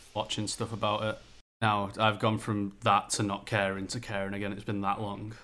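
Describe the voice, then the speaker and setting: A man speaks at a moderate pace in a flat monotone. His fairly low voice has a bright, sharp tone. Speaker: podcast co-host. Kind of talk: casual chat.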